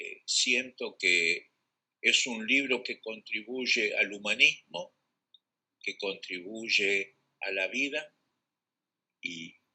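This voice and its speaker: The speech comes at a very slow pace with long, frequent pauses. Loudness swings widely throughout. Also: man. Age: 80s+. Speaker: prologue writer at a book launch. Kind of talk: speech at a live-streamed book launch. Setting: live stream.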